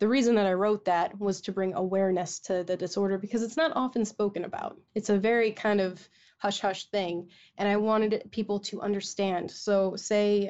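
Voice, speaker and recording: A woman talks in a Midwestern American accent at a moderate pace. Her medium pitch holds fairly even intonation. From Michigan. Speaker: voice actress. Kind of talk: casual chat.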